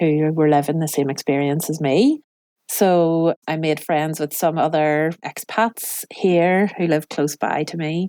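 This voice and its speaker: Fairly low in pitch, a woman speaks in an Irish accent with fairly even intonation. The recording is very clean with a silent background and a dry, close sound with no echo. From Ireland. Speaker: cookery class teacher and business owner. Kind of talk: interview answer.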